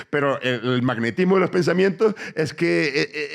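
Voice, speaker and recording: Using vocal fry, a man with a fairly high pitch talks at a moderate pace with very wide pitch swings. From Tenerife, Canary Islands. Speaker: comedian. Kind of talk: live podcast interview answer. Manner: rambling, reflective monologue.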